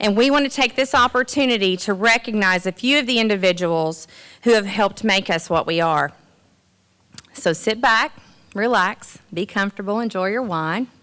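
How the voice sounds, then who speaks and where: With a Southern US accent, the speaker has a bright, sharp tone and lively intonation. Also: woman, medium pitch for a woman. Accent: Southern US drawl. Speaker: master of ceremonies at college awards. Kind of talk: event hosting speech.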